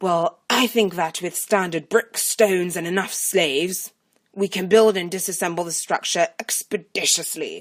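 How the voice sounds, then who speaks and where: Using a put-on character voice, a woman speaks at a medium pitch and moderate pace. Her intonation stays fairly even, and the sound is dry and close with no echo. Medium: read story. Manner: pompous, condescending.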